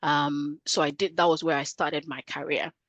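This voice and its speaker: With a Nigerian accent, a woman speaks in a very deep, low pitch with monotone, flat intonation against a quiet background. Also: dry, close sound with no echo. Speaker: career coach. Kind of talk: podcast interview.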